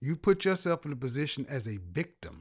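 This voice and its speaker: A normal speaking voice from a man at medium pitch, fairly slow in pace, with lively intonation over a quiet background. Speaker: image consultant and life coach. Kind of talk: call-in talk show host. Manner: blunt, confrontational.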